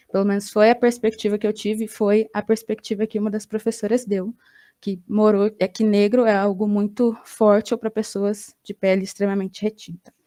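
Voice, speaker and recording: A woman with a Brazilian accent speaks at a moderate pace in a fairly high pitch, with a dark, mellow tone and monotone, flat intonation. The recording is very clean, with a silent background and a dry, close sound with no echo. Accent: Brazilian Portuguese accent noticed abroad. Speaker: graduate student researcher. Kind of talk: academic conference presentation.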